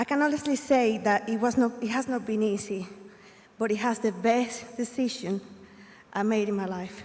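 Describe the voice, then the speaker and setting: Over noticeable background noise, a woman speaks at a moderate pace in a fairly high pitch with fairly even intonation. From Colombia. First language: Spanish. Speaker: graduating student. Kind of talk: graduation speech.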